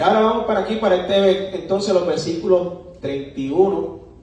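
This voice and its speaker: A man speaks at a fairly slow pace, with audible room echo and noticeable background noise. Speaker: preacher. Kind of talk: sermon. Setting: church.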